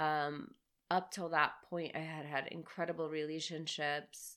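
A woman speaks with an American accent in a very deep, low pitch. Her pace is fairly slow and her intonation fairly even. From US South, Marietta, Georgia (suburb of Atlanta). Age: 30s. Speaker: author and spiritual guide. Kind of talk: casual chat. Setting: sitting on a bed at home.

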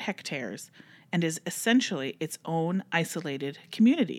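A woman talks at a moderate pace with lively intonation. She has an unremarkable speaking voice. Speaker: library podcast host. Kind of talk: casual chat and reading aloud stories.

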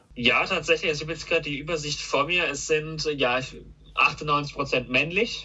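Over noticeable background noise, a man with a fairly high pitch talks at a moderate pace and with fairly even intonation. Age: 20s. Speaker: car YouTuber. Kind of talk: casual chat. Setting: call.

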